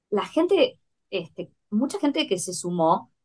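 A woman with a Rioplatense accent talks at a fairly high pitch. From Argentina, Buenos Aires. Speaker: agricultural producer and poet. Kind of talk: interview conversation. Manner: halting, many fillers.

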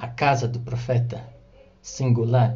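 Audible room echo carries a man's somewhat breathy voice at a medium pitch. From Brazil, São Paulo coast (Guarujá). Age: 30s. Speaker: religious speaker. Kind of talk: religious talk. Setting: recorded audio for radio.

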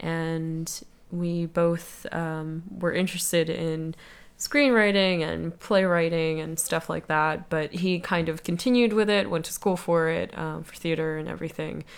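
A woman with an American accent has a normal speaking voice, fairly low in pitch, at a fairly slow pace with fairly even intonation and big swings in loudness, on a very clean recording with a silent background. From US, South Jersey. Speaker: political campaign worker, guest interviewer. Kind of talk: casual chat.

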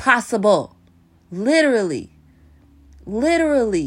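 An animated woman with an American accent and very wide pitch swings. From US South, Nashville, Tennessee. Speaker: podcaster and poet. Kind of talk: casual monologue with poetry reading.

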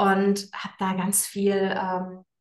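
A woman speaks at a medium pitch. Room echo can be heard around her voice. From Frankfurt am Main, Germany. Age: 30s. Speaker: women's coach. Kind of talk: interview. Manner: hesitant, many fillers.

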